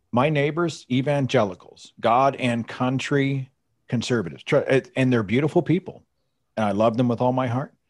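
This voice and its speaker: A man with an American accent speaks in an unremarkable speaking voice at medium pitch and a moderate pace. His pitch varies in an ordinary way, on a very clean recording with a silent background. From Oklahoma, US (Tulsa). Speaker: atheist podcaster and author. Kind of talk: presentation with slides.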